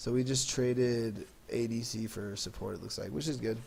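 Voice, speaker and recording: A somewhat breathy man speaks at a moderate pace and medium pitch. Audible room echo surrounds his voice. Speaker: gaming video commentator. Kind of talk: casual gameplay commentary. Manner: casual, hesitant.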